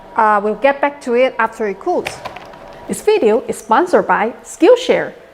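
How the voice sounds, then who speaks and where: A woman speaks in a Chinese accent at a moderate pace, her pitch fairly high with very wide swings. Noticeable background noise is present. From China. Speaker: maker YouTuber. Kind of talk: tutorial.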